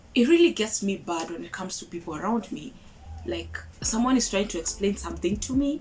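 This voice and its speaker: A woman speaks at a fairly quick pace with big swings in loudness, over noticeable background noise. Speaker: YouTube vlogger. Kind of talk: casual vlog monologue. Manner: fast.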